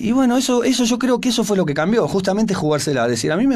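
A man with a normal speaking voice at a fairly quick pace. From Argentina. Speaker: rock musician; guest. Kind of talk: radio interview. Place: studio. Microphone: studio mic.

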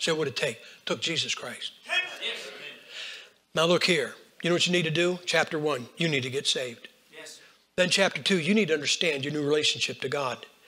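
Over noticeable background noise, a man talks at a fairly quick pace and fairly high pitch with ordinary pitch variation. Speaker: preacher. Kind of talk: sermon. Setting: church. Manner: animated.

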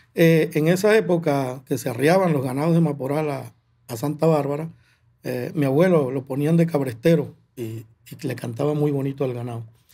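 A man speaks at a moderate pace with a fairly high pitch. His tone is dark and mellow, with ordinary pitch variation. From Venezuelan llanos, Barinas; Venezuela. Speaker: llanera music composer and singer; guest. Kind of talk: interview. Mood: calm, reflective. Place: studio. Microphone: studio mic.

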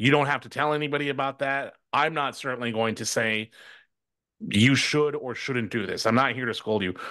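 Bright and sharp, a man's voice comes through. Little sound intrudes from behind him. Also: ordinary pitch variation, moderate pace. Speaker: political commentator. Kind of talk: live virtual event discussion. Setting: video call. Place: home room. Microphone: studio mic.

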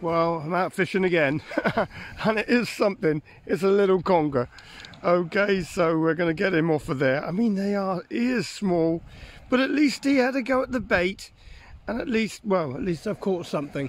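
A man talks at a moderate pace. His pitch is high. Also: dry sound with no echo. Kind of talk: casual vlog chat. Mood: cheerful, amused. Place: beach. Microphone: phone near.

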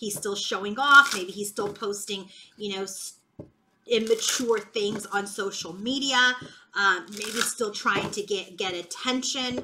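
Noticeable background noise under fairly slow delivery, ordinary pitch variation throughout. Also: woman. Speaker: tarot reader. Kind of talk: tarot reading commentary.

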